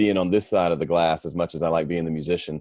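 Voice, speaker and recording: With a Southern US accent, a man speaks in a dry, close sound with no echo. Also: quiet background. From US South, Mississippi. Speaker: audio engineer and musician. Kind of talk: interview.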